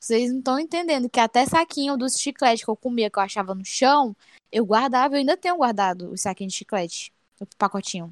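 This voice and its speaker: The woman speaks at a high pitch and a fairly quick pace. The sound is dry and close, with no echo. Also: lively intonation. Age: 20s. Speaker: tribute band member, podcast co-host. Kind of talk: casual chat.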